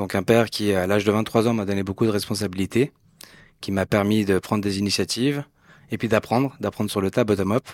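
An unremarkable speaking voice from a man, fairly low and fairly quick, with fairly even intonation, in a very clean recording with a silent background and a dry, close sound with no echo. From Switzerland, Geneva. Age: 40s. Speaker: entrepreneur. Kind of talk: interview.

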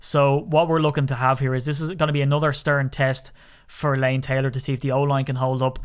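A man with a fairly high pitch and an Irish accent, monotone and flat, in a very clean recording with a silent background. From Ireland. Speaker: sports podcast host. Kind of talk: casual chat.

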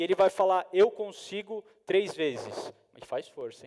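The voice belongs to a man and sits high. He talks somewhat slowly. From Brazil, São Paulo. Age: 30s. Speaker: motivational speaker, sales and marketing professional. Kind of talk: motivational talk to live audience. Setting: stage with audience. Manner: animated.

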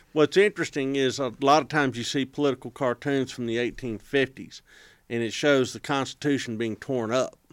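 This man has an American accent and a normal speaking voice, pitched in the medium range, with ordinary pitch variation. He talks at a fairly quick pace on a very clean recording with a silent background. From Texas. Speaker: historian. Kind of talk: casual chat.

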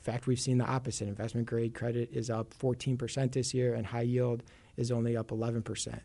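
In a Chicago accent, a man with a dark, mellow tone speaks at medium pitch and a moderate pace with monotone, flat intonation. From Chicago, US Midwest. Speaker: CLO analyst. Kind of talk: casual interview about finance.

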